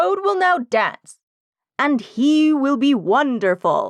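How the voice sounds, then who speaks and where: Using a put-on character voice, a woman speaks at a very slow pace with high pitch and very wide pitch swings. The sound is dry and close, with no echo. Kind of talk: stage announcer. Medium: read story. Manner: grand, proclamatory.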